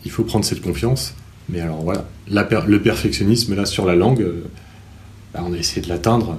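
A man's fairly low pitch with ordinary pitch variation, a fairly quick pace broken by long, frequent pauses, and audible room echo. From France, Normandy (Cherbourg). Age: 30s. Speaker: teacher and novelist. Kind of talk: interview. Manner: halting.

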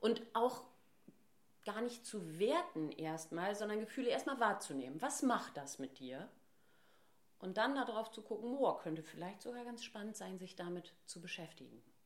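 A woman's fairly high voice with vocal fry, very wide pitch swings and a moderate pace. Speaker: voice trainer and speech therapist. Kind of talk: casual interview.

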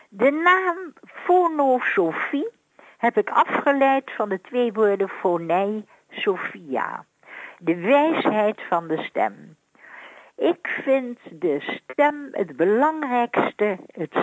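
At a very slow pace, a woman with a fairly high pitch speaks with very wide pitch swings in a dry, close sound with no echo. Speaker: voice analyst. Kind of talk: radio interview.

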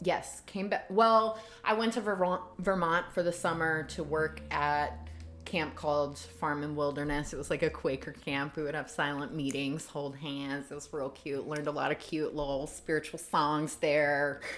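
A woman speaks at a moderate pace in a very deep, low pitch with an American accent and ordinary pitch variation. Music plays in the background. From US South, Savannah, Georgia. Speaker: bodyworker and intimacy coach. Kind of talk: casual interview chat.

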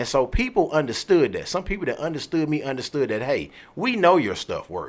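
Speaking at a fairly quick pace with an American accent, a man uses a fairly high pitch, vocal fry and very wide pitch swings. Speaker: podcast host. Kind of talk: casual interview.

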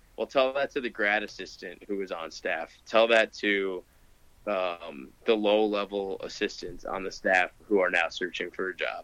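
A man in a Midwestern American accent, with a fairly low pitch, a bright, sharp tone, ordinary pitch variation and a fairly slow pace. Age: 20s. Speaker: college football podcast co-host. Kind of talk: casual chat.

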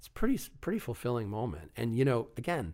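A man talks at a very fast pace with an American accent. The recording is very clean, with a silent background. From Long Island, New York. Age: 40s. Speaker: actor and TV referee. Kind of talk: casual chat.

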